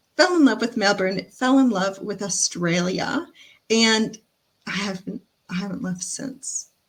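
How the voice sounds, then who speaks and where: Her voice somewhat breathy, a woman talks at a fairly slow pace with ordinary pitch variation and big swings in loudness. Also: medium pitch for a woman. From Canada, London Ontario. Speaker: digital marketing mentor. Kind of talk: webinar presentation. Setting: online webinar.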